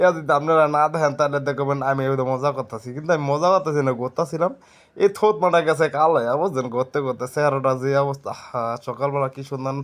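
This is a normal speaking voice. Its intonation is fairly even. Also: man, fairly high pitch for a man. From Dhaka division, Bangladesh. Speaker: travel vlogger. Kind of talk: casual vlog narration. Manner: rambling, repetitive.

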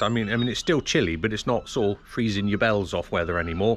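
A man talks at a fairly quick pace, his pitch varying in an ordinary way, with light background noise present. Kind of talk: tutorial. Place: street. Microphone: phone near.

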